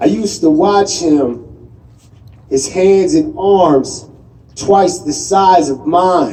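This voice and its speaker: A man speaks very slowly with an American accent, his voice somewhat breathy and his tone dark and mellow. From Southwestern US. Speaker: poet. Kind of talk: slam poetry performance.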